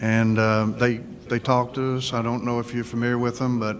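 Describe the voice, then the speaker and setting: A man's voice over noticeable background noise. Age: 60s. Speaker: business owner, panelist. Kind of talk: panel discussion testimony. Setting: luncheon event with audience. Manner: halting, many fillers.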